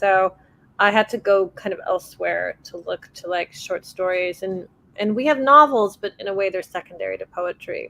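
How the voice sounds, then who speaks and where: With a Persian accent, a woman talks at a moderate pace. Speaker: author. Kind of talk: panel discussion.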